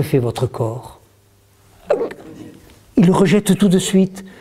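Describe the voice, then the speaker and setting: A man talks at a very slow pace with lively intonation. Noticeable background noise runs behind him. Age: 70s. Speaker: author and communication trainer. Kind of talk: workshop talk to an audience. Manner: animated.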